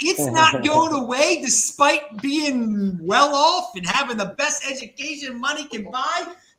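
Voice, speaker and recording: A man's extremely high, raised and projected voice in an American accent, animated, with lively intonation at a fairly slow pace, hardly any pauses, and noticeable background noise. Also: big swings in loudness. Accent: strong Baltimore working-class. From Baltimore, US. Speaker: crypto show host. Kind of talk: casual panel chat.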